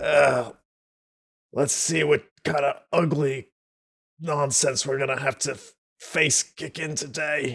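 Raspy and fairly high-pitched, a man's put-on character voice moves at a fairly slow pace in a monotone, flat delivery with long, frequent pauses. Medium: actual play.

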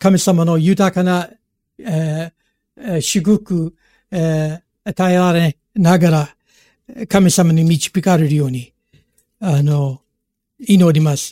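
Very slowly, a man speaks in a high voice with a dark, mellow tone and ordinary pitch variation. The sound is dry and close, with no echo. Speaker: pastor. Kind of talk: sermon. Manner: halting.

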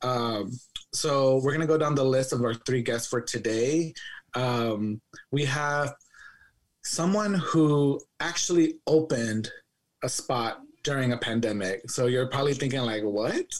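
A man's plain, everyday voice at a medium pitch, with ordinary pitch variation and a fairly slow pace. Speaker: podcast co-host. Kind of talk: casual chat.

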